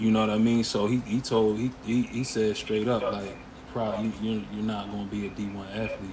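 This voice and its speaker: Through audible room echo, a man with a fairly low pitch talks at a fairly quick pace with fairly even intonation. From Harrisburg, Pennsylvania, US. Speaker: former pro football player. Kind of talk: casual interview.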